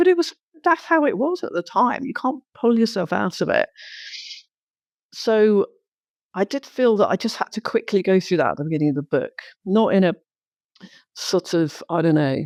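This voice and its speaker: On a very clean recording with a silent background, a woman with a fairly high pitch speaks at a moderate pace, leaving long, frequent pauses. Her pitch swings very widely, and the sound is dry and close with no echo. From London, England. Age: 60s. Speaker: entrepreneur. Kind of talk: interview.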